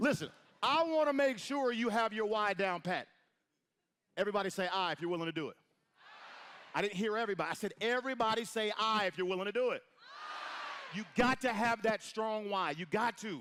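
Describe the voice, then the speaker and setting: A loud, high-pitched man with an animated tone and lively intonation, at a moderate pace with long, frequent pauses. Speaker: motivational speaker at network marketing event. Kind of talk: motivational stage speech. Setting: stage with audience, echoing room.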